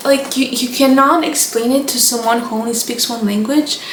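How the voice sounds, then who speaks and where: High-pitched woman in a Romanian accent, monotone and flat, with audible room echo and noticeable background noise. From Moldova. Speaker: book content creator. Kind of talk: casual chat.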